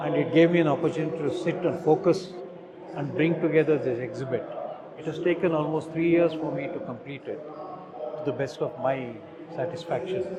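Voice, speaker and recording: Fairly quick delivery with long, frequent pauses and fairly even intonation, plus audible room echo and noticeable background noise. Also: man, fairly high pitch for a man. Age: 60s. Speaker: stamp collector. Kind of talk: exhibit walkthrough. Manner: halting.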